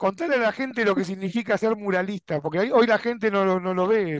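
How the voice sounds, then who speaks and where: With an Argentine accent, a man speaks at a high pitch and fairly quick pace against a quiet background. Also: dry sound with no echo. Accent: Argentine Spanish (Rioplatense). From Argentina. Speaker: YouTube chess channel host; interviewer, chess show host. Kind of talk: interview. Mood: friendly, cheerful. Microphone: headset.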